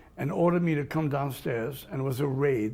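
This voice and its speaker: A man's somewhat breathy voice, pitched fairly high, with a dark, mellow tone and ordinary pitch variation. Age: 80s+. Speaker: Holocaust survivor. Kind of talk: interview. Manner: halting.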